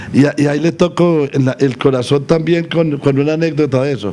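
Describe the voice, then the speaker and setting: Noticeable background noise runs under the clip. A man talks at a fairly quick pace with ordinary pitch variation. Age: 80s+. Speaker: agricultural leader. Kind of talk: interview. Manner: halting.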